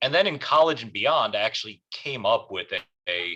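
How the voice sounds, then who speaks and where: Bright and sharp in tone, a man's voice shows ordinary pitch variation and an American accent. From US, Korean adoptee. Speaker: audience member. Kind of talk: audience question. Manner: hesitant, many fillers.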